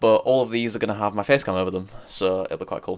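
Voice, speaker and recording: A man talks at a very fast pace in a very clean recording with a silent background. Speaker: gaming YouTuber. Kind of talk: casual vlog talk while playing. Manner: rambling, casual.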